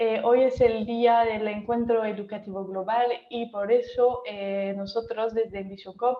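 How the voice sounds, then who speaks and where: In a French accent, a woman speaks at a very slow pace, fairly high in pitch, with monotone, flat intonation. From France. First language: French (speaking Spanish). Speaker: workshop moderator. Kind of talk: online workshop moderation. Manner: hesitant, many fillers.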